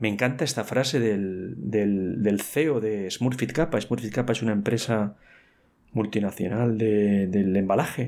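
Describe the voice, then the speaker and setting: At a fairly slow pace, a man speaks in a dark, mellow tone, recorded very cleanly against a silent background. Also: ordinary pitch variation. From Spain, Valencia. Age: 50s. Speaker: podcast host, industrial engineer. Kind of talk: solo podcast talk. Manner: animated; repetitive stammering. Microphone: new microphone.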